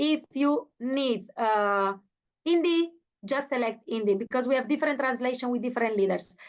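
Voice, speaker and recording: A woman speaks at a moderate pace with a high pitch and lively intonation, in an Italian accent. The background is quiet. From Italy. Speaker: network marketing leader. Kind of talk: motivational speech. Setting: video call. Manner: halting; enthusiastic.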